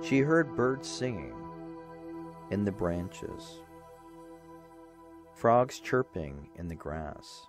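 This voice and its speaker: Music plays behind a man with a medium pitch who speaks at a very slow pace, with long, frequent pauses. His pitch swings very widely and his loudness rises and falls in big swings. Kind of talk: bedtime story narration. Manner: soft, rhythmic.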